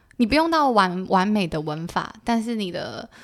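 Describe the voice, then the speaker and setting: A woman talks at a moderate pace with lively intonation in a plain, everyday voice. The recording is very clean, with a silent background. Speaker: former work-and-travel participant. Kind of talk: casual interview chat.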